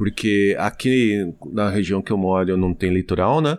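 A man speaks with ordinary pitch variation. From Brazil, Osasco (São Paulo). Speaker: travel podcaster. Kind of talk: casual chat.

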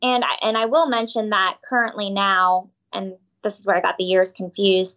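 A woman speaks in an unremarkable speaking voice at a moderate pace. Her pitch is medium, with ordinary pitch variation. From Tampa, Florida. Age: 30s. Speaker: prosecutor and judicial candidate. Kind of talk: interview, campaign talk. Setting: studio.

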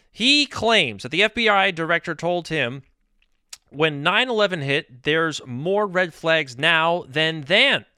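A man with an American accent and a high pitch speaks at a very slow pace. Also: lively intonation. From New York State. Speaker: political talk radio host. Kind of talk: political commentary monologue.

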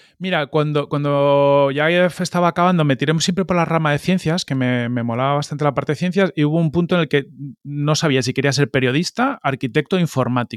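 A man with an ordinary speaking voice and fairly high pitch talks at a fairly quick pace, with hardly any pauses, ordinary pitch variation and very even loudness. The recording is very clean, with a silent background and a dry, close sound with no echo. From Spain, Catalonia then Madrid. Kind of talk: interview.

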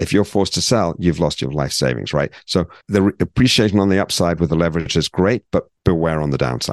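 A man's very deep, low voice with vocal fry and a British accent, fairly quick with hardly any pauses, ordinary pitch variation, and a dry, close sound with no echo. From Britain. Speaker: financial advisor, podcast host. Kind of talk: educational podcast chat.

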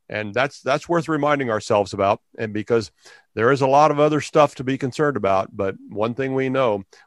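A man's plain, everyday voice at a fairly quick pace with ordinary pitch variation, recorded dry and close with no echo over a quiet background. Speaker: pastor and education activist. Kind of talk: interview.

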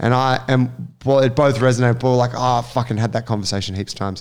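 With an Australian accent, a man speaks very fast and with fairly even intonation. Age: 30s. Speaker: podcast host and gym coach. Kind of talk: casual chat.

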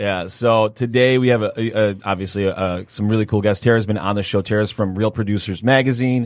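With an ordinary speaking voice, a man with a fairly low pitch talks at a fairly quick pace with hardly any pauses. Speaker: podcast host. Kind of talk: casual banter among co-hosts with radio-style show intro and interview.

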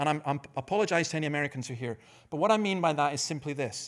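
A man with a Dundee accent speaks at a fairly quick pace and a fairly high pitch, with ordinary pitch variation. The recording is very clean, with a silent background. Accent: Scottish (Dundee). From Scotland, Dundee. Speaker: pastor. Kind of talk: conference talk. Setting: stage with audience.

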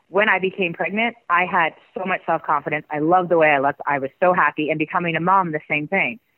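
A woman with a plain, everyday voice, fairly low pitch and a fairly quick pace. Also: ordinary pitch variation. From Canada. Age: 40s. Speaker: former pro wrestler. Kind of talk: interview.

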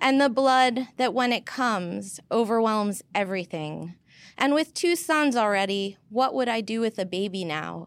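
With an American accent and a normal speaking voice, the speaker goes at a fairly slow pace with lively intonation on a very clean recording with a silent background. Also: woman, fairly high pitch for a woman. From New York (Queens and Long Island). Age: 40s. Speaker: poet and professor. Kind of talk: poetry reading. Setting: stage with audience.

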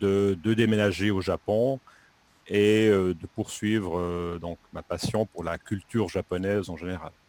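A man talks at a very slow pace, his pitch fairly low. There is ordinary pitch variation, and the sound is dry and close with no echo. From French-speaking Switzerland, Lausanne region. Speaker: French teacher. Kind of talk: interview. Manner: halting, many hesitations.

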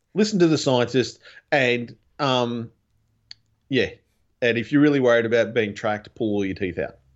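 A medium-pitched man with an Australian accent, at a moderate pace, with ordinary pitch variation and long, frequent pauses. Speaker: podcast guest, fellow podcaster. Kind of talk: casual chat. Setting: remote call from home recording room.

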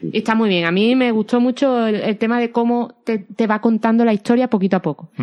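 A woman's fairly high voice with an Andalusian accent, fairly even intonation, very even loudness, a fairly quick pace and hardly any pauses. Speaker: film podcast host. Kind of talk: casual chat.

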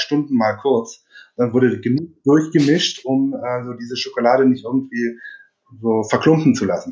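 A man speaks at a medium pitch. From southern Germany (Upper Swabia, near Ravensburg). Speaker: energy consultant and engineer. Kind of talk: podcast interview. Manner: hesitant, many filler sounds.

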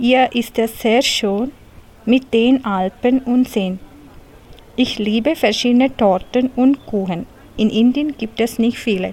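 Speaking at a very slow pace with long, frequent pauses, a woman keeps a high pitch, very even loudness and fairly even intonation. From India, Kerala. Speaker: language course participant. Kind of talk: reading aloud.

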